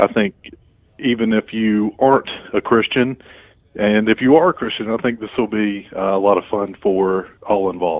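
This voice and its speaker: The speaker has an ordinary speaking voice with ordinary pitch variation. The pace is moderate. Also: man, fairly low pitch for a man. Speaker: podcast co-host. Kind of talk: casual podcast chat. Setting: phone call.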